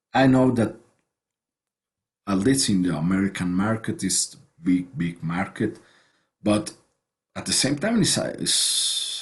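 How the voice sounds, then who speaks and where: A man with a non-native accent speaks at a fairly slow pace in a medium pitch. His voice is somewhat breathy, with lively intonation. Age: 40s. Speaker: writer and online show host. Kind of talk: interview conversation. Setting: video call. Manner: halting, many repetitions.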